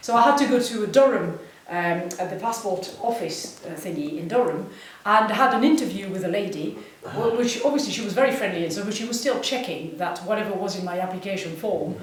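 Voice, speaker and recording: Over noticeable background noise and audible room echo, a woman speaks at a fairly quick pace with medium pitch and lively intonation. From France. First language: French. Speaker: singer. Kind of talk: stage banter with audience. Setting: village hall stage with audience. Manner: animated.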